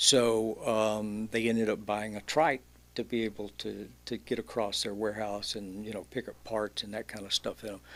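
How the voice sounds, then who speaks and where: In a very clean recording with a silent background, a man with a Louisiana accent speaks at a moderate pace, his fairly low voice held in a monotone, flat intonation. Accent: Louisiana Southern US. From Louisiana (Alexandria). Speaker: entrepreneur, e-bike shop owner. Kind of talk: casual chat.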